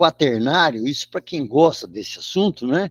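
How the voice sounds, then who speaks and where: A man speaks at a fairly high pitch with very wide pitch swings. The recording is very clean with a silent background and a dry, close sound with no echo. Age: 70s. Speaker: radio show co-host and storyteller. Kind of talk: casual chat.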